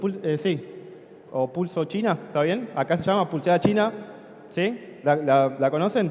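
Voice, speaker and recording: Over noticeable background noise, a man with an Argentine accent speaks very slowly at a high pitch with lively intonation. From Argentina. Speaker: conference speaker, software company co-founder. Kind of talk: conference talk. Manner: conversational, many fillers and 'sí?' checks.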